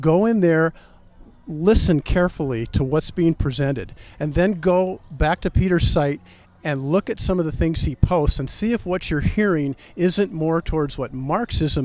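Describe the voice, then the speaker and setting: This man has an unremarkable speaking voice, fairly high in pitch. He keeps a moderate pace with ordinary pitch variation. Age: 60s. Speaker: political commentator guest. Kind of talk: interview. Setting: outdoors in front of the corn palace.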